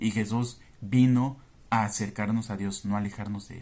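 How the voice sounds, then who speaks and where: The speaker talks at a fairly slow pace. Their intonation stays fairly even. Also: man. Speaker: Bible teacher. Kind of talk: Bible study commentary.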